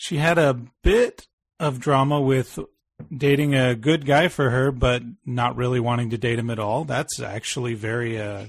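A man talks in an unremarkable speaking voice at a medium pitch with ordinary pitch variation. His pace is moderate, and the background is quiet. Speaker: podcast host and film reviewer. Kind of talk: casual chat.

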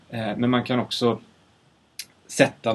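A man with a medium-pitched voice. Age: 30s. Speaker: sound designer. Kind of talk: casual chat. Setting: studio. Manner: halting. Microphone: far from the mic.

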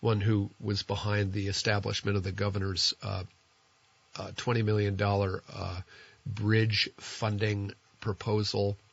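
Somewhat breathy and fairly low, a man's voice moves at a very slow pace with monotone, flat intonation. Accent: American. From New Jersey. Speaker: radio host. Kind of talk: conversational radio interview and call-in show. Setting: radio studio.

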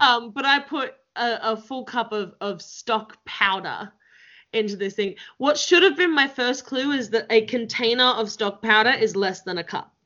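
A woman with an Australian accent speaks at a moderate pace. Her pitch is fairly high, with ordinary variation. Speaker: podcast host. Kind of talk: casual interview chat.

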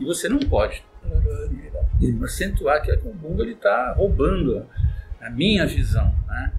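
Music plays behind a man whose speech unfolds very slowly. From Santos, São Paulo coast, Brazil. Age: 60s. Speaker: band conductor and music teacher. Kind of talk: casual interview. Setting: in-person studio recording.

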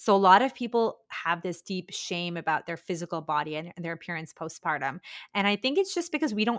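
A woman at a medium pitch in a plain, everyday voice, fairly quick pace and lively intonation, in a very clean recording with a silent background. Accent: Canadian. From India, moved to Canada at ten. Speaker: physiotherapist and postpartum fitness coach. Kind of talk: casual interview chat.

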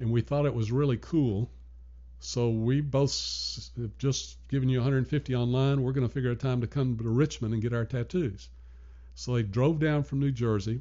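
At a moderate pace, a man with medium pitch speaks in a somewhat breathy voice with fairly even intonation. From US South, Nashville, Tennessee. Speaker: retired arts fundraiser. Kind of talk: casual interview.

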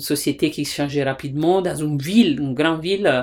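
A woman's very deep, low voice with an Italian accent, on a very clean recording with a silent background. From Italy. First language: Italian (speaking French). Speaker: theatre director and teacher. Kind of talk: interview. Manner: halting.

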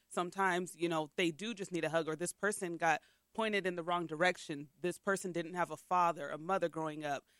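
A woman's fairly low voice, a normal speaking voice, at a fairly quick pace with fairly even intonation and a dry, close sound with no echo. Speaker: podcast host. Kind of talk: casual podcast interview.

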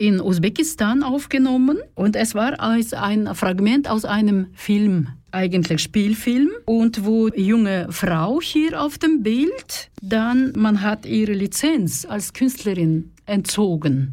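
This woman speaks at a very slow pace with hardly any pauses, in a Kazakh accent. Her fairly high voice has a dark, mellow tone, lively intonation and a somewhat breathy quality. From Kazakhstan. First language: Kazakh (speaking Russian). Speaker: radio host. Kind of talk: bilingual radio talk show. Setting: studio.

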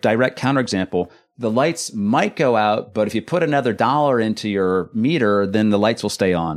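At a moderate pace and very even loudness, a man of medium pitch speaks with lively intonation and hardly any pauses against a quiet background. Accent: Californian. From California. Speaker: economist, university lecturer. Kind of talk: interview.

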